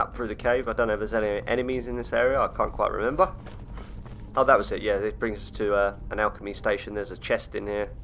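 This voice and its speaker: Words pour out very rapidly from a man with a British accent. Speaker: gaming YouTuber. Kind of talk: gameplay commentary. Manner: stutters on words at times; sounds serious.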